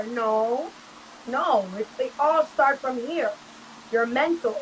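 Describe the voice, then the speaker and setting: Speaking fairly slowly, a woman is heard through noticeable background noise. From Jamaican American, raised in Brooklyn. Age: 20s. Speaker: reggae and dancehall artist. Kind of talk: interview answer. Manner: casual.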